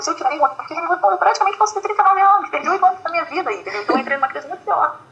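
Over music in the background, a woman speaks in a raised, projected voice. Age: 30s. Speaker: author. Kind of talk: interview. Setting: video call.

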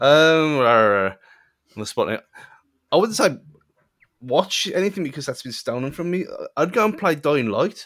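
Very wide pitch swings at a fairly slow pace, broken by long, frequent pauses, on a very clean recording with a silent background. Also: man, fairly high pitch for a man. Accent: British. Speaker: podcast co-host.

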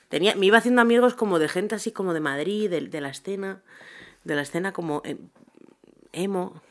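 A woman's fairly quick speech with lively intonation, broken by long, frequent pauses. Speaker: podcast co-host. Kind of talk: casual chat.

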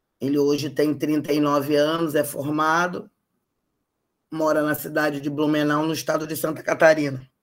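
In a very clean recording with a silent background, a woman with a Carioca accent speaks at a fairly slow pace in a very deep, low, flat monotone. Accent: carioca Brazilian Portuguese. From Rio de Janeiro, Brazil. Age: 50s. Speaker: human rights activist. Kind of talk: interview.

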